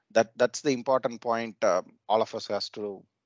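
Over a dry sound with no echo, a man speaks at a moderate pace. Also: quiet background. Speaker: participant asking questions; session moderator. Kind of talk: technical discussion, webinar. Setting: video call. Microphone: video call.

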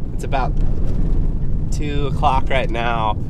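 Over loud background noise, a man talks at a moderate pace, and his voice sounds dry with no echo. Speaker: hunting vlogger. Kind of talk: casual vlog chat. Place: car. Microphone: phone near.

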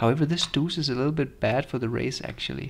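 The man's voice has a fairly bright tone marked by vocal fry.

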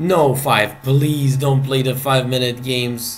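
Speaking at a very slow pace, a man with a Serbian accent uses a medium pitch and sounds somewhat breathy. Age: 30s. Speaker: chess player and streamer; chess player streamer. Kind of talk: live game commentary. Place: home room.

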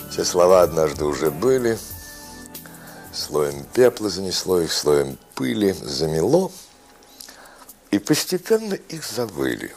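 A man speaks at a very deep, low pitch with very wide pitch swings, very slowly and with long, frequent pauses. Faint music plays in the background. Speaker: actor. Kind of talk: poetry reading. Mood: reflective, calm.

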